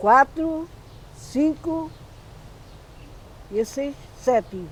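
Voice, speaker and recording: Noticeable background noise runs under this clip. A woman speaks at a very slow pace in a high voice with lively intonation. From Portugal, Alentejo (Évora area). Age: 80s+. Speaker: retired farm worker. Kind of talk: interview testimony.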